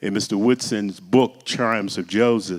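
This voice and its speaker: Here is a man with an unremarkable speaking voice, fairly low in pitch. He speaks at a moderate pace on a very clean recording with a silent background. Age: 60s. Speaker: community organizer. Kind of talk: public talk. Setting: church event.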